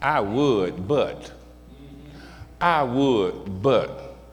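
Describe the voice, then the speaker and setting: A man's animated tone over noticeable background noise. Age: 60s. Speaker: pastor. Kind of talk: sermon. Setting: church.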